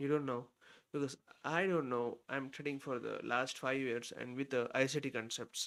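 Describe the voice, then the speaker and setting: Fairly even intonation marks a man speaking at a moderate pace. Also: medium pitch for a man. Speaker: day trader, live streamer. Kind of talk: live trading stream commentary. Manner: casual, hesitant with fillers.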